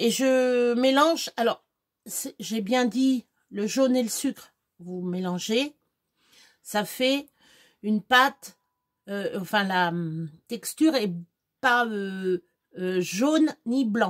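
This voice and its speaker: With long, frequent pauses, a woman speaks in a fairly high pitch and lively intonation, her sound dry and close with no echo. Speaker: home cook vlogger. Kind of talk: cooking tutorial. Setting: home kitchen. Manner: casual, hesitant.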